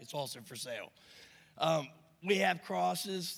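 A man speaks at a fairly slow pace. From Pennsylvania. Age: 30s. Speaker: rehab program resident. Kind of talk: announcement and sales pitch. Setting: church stage with congregation.

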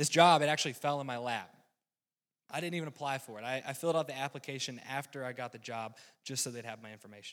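A man with a Southern US accent talks at a very fast pace in a medium pitch, with ordinary pitch variation and big swings in loudness, on a very clean recording with a silent background. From US South, rural North Carolina. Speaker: lay preacher, weatherman by trade. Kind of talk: sermon. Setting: church.

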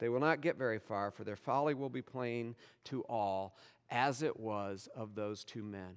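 At a moderate pace and a medium pitch, a man speaks in a normal speaking voice with ordinary pitch variation against a quiet background. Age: 50s. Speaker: pastor. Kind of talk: sermon.

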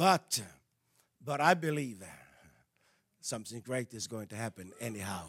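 Recorded with a dry, close sound and no echo, a man speaks in an animated tone with a Danish accent. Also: very clean recording, silent background. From Denmark. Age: 60s. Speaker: evangelist and missionary. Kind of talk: sermon. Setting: church. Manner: halting.

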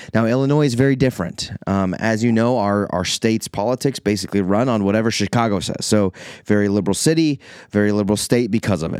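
A man's very fast, fairly low-pitched speech with a US Midwestern accent and ordinary pitch variation, in a dry, close sound with no echo. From Iowa, US Midwest. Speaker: pastor. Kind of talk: podcast monologue reflecting on a sermon. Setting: church office. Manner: casual, conversational.

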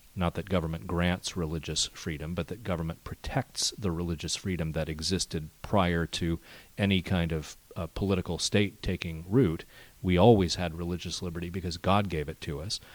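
A very deep, low male voice in a very clean recording with a silent background. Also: fairly even intonation, moderate pace. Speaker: media executive. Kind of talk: interview. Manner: hesitant, many fillers.

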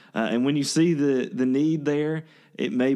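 A man's medium-pitched voice, dark and mellow in tone, with a Louisiana accent. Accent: Southern US (Louisiana). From northern Louisiana (Ruston). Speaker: worship pastor. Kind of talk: casual interview.

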